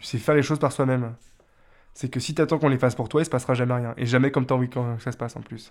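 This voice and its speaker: A man talks at a very fast pace in a medium pitch with fairly even intonation. The recording is very clean, with a silent background. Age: 20s. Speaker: carpenter. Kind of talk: documentary interview.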